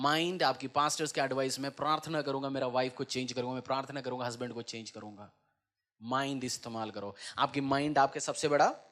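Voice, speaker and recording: A man talks in a plain, everyday voice. His pitch is fairly high and his intonation fairly even. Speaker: pastor. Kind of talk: church sermon preaching to congregation.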